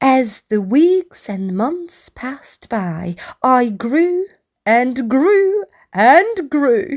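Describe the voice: A woman's put-on character voice, high-pitched with big pitch swings and a very slow pace. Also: slightly mellow tone.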